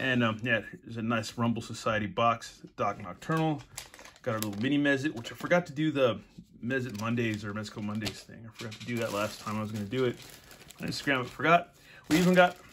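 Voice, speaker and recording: Through noticeable background noise, a man talks at a very fast pace with ordinary pitch variation and big swings in loudness. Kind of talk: casual unboxing chat. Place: home room. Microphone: phone near.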